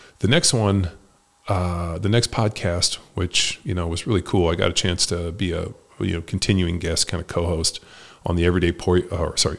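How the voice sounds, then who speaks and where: Recorded very cleanly against a silent background, a man with a very deep, low, somewhat breathy voice talks at a fairly quick pace with fairly even intonation. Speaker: podcast host and former football player. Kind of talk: solo year-in-review monologue. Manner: casual, profane.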